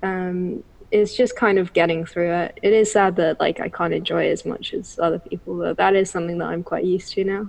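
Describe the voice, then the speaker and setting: A woman with an English accent talks at a fairly quick pace, with hardly any pauses. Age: 20s. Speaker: bookseller with misophonia. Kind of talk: interview.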